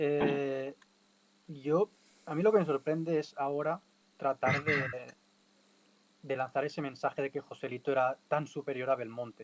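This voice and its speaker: In a Catalan accent, a man with a fairly high pitch talks at a fairly slow pace with fairly even intonation and long, frequent pauses, the sound dry and close with no echo. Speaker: bullfighting podcast panelist. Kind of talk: casual panel discussion. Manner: halting, many repetitions.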